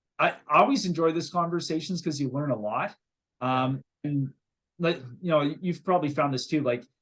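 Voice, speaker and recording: Speaking with a Canadian accent, a man uses a fairly high pitch at a moderate pace. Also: ordinary pitch variation. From Canada. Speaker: real estate investor. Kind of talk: interview. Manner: halting, many fillers and repeated words.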